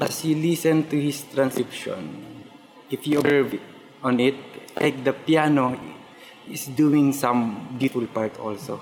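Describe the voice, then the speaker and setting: A man speaks at a fairly slow pace with fairly even intonation, stopping often for long pauses over noticeable background noise. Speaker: violinist. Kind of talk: interview.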